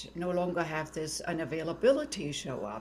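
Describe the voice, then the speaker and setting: The speaker has a German accent, lively intonation and a moderate pace. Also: woman. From Germany. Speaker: tantra and intimacy teacher. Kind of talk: interview.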